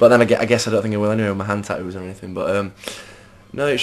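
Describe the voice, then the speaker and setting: Against noticeable background noise, a man speaks with a fairly low pitch and fairly even intonation. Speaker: rock band singer and bassist. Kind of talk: interview.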